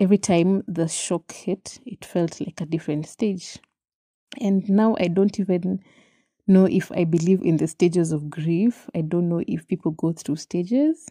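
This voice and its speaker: Speaking with a Kenyan accent, a woman has a fairly low pitch and a dark, mellow tone. She talks at a moderate pace with ordinary pitch variation against a quiet background. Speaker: podcast host. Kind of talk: solo podcast monologue, personal reflection. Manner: reflective, candid, some laughter.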